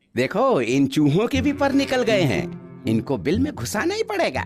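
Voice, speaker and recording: A cartoonish character voice at a middle pitch moves at a moderate pace while faint music plays in the background. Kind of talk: comic overacting. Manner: mocking, boastful, slangy.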